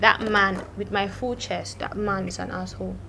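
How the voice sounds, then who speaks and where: A woman with a Nigerian accent at a moderate pace. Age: 20s. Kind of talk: casual storytime talk to camera. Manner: lively, chatty.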